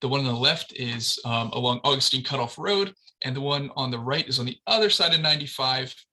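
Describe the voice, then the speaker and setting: Speaking at a very fast pace, a man with a medium pitch and ordinary pitch variation has a bright, sharp tone. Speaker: transportation planner. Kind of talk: presentation.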